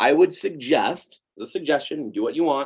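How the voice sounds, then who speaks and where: A man with an American accent, an animated tone, lively intonation and a moderate pace. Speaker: cake baker and business instructor. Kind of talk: webinar presentation.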